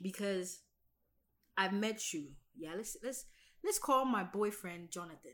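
A woman at medium pitch, fairly slow pace, animated tone, lively intonation, big swings in loudness and long, frequent pauses. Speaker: podcast co-host. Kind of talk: casual chat.

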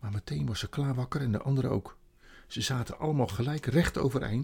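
The pitch varies in an ordinary way through an unforced reading voice.

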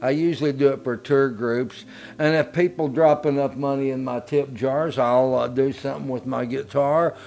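In a normal speaking voice, a man talks at medium pitch and a moderate pace with fairly even intonation. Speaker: musician. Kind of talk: interview. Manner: folksy, colorful.

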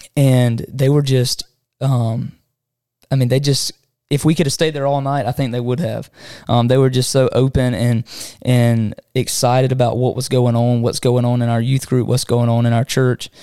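Medium-pitched male voice with a Southern US accent, dark, mellow tone, monotone, flat intonation and moderate pace, on a very clean recording with a silent background. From Southwest Georgia. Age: 20s. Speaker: podcast co-host and church youth leader. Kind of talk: casual chat.

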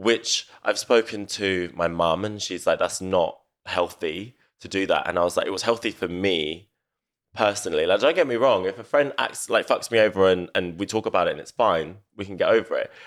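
In a very clean recording with a silent background, a man with a London accent speaks at a moderate pace. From north London. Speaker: event organiser. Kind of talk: casual chat.

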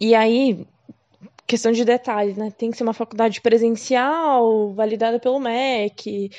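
Fairly high-pitched female voice, its pitch varying in an ordinary way. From Curitiba, southern Brazil. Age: 20s. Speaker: podcaster sharing exchange experience. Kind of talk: casual monologue.

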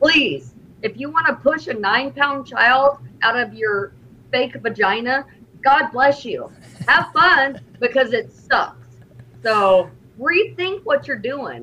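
Very slowly and with long, frequent pauses, a woman speaks in a raised, projected voice, her pitch high and her intonation lively. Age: 40s. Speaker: TikTok creator. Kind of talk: heated debate. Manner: animated.

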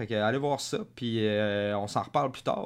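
This man speaks with a Quebec accent and ordinary pitch variation. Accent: Québécois French. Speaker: podcast host. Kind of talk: casual chat.

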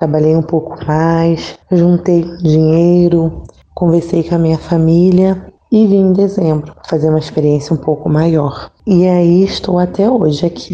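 Speaking at a fairly slow pace, a woman has a fairly low pitch, a dark, mellow tone, monotone, flat intonation and very even loudness. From Rio de Janeiro, Brazil (Nilópolis). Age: 30s. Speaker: lay missionary and teacher. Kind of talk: interview testimony.

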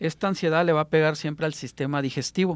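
An ordinary speaking voice with ordinary pitch variation, in a dry, close sound with no echo. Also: man, very clean recording, silent background. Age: 20s. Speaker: alternative health therapist. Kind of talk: radio interview. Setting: radio studio.

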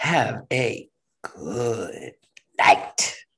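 The voice is raspy. It is a man doing a put-on character voice.

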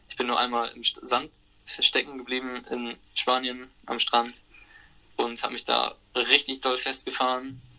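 This man's voice is medium in pitch, with monotone, flat intonation. He speaks at a fairly slow pace, and his loudness swings widely. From Germany, Hamburg. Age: 20s. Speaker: van traveller. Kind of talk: casual interview chat. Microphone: transmission problems.

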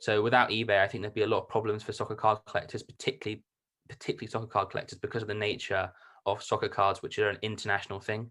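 A man's fairly low voice with a British accent, very fast pace, bright, sharp tone and monotone, flat intonation, in a very clean recording with a silent background. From UK. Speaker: card collector and reseller. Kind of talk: casual interview chat.

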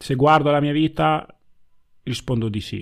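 Speaking at a moderate pace, a man uses a normal speaking voice with fairly even intonation. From Italy (born in Ghana). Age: 20s. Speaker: podcast guest, new father. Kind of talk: casual conversation. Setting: video call.

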